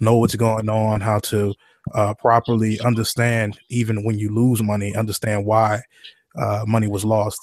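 A man speaks with an American accent and a fairly low pitch. His intonation is flat and monotone. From New Orleans. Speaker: trading educator, company founder. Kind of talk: webinar presentation. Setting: online webinar.

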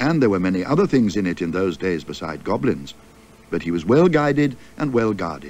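This is an unforced reading voice. It carries the text as written.

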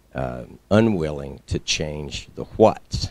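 A man speaks with a very deep, low pitch and vocal fry. The sound is dry, with no echo. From United States. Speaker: scouting official, audience questioner; questioner. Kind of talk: audience question at conference. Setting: stage with audience. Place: meeting room.

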